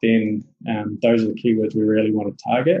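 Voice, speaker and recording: In a New Zealand accent, a man speaks at a medium pitch. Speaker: SEO specialist. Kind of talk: interview conversation.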